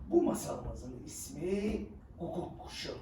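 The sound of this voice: Big pitch swings run through a slow, dark, mellow voice heard with audible room echo.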